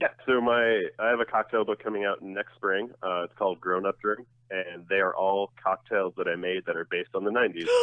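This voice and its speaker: A man with an American accent and a normal speaking voice, pitched fairly low. His moderate pace has hardly any pauses, and his intonation is fairly even. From New Jersey. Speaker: drinks writer and author. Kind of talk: interview. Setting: phone call.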